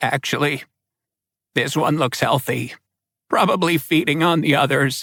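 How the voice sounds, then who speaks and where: A man puts on a raspy character voice at a fairly high pitch, moving at a moderate pace with long, frequent pauses. The recording is very clean, with a silent background. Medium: read story. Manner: matter-of-fact, blunt.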